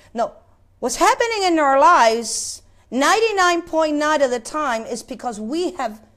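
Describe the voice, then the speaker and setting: Against a quiet background, a woman speaks at a fairly slow pace in an extremely high pitch, with very wide pitch swings and long, frequent pauses. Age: 50s. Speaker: preacher. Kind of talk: sermon. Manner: halting, with many repetitions. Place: church. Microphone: lapel.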